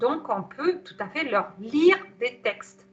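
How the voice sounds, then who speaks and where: Her tone is bright and sharp, her intonation lively. The woman speaks at a very slow pace. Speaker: psycho-body therapist giving a webinar on anthroposophy. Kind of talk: webinar talk. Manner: hesitant, many fillers.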